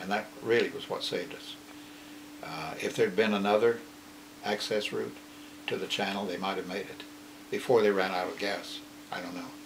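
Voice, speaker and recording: The speaker goes at a moderate pace, with long, frequent pauses and big swings in loudness. Noticeable background noise runs underneath. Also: man. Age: 80s+. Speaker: war veteran. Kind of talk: interview answer. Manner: hesitant, reflective.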